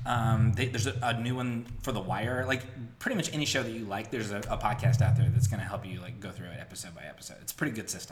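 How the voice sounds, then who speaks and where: Very fast speech with fairly even intonation and big swings in loudness, set against noticeable background noise. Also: man, medium pitch for a man. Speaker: podcast host. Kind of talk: casual chat. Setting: home recording.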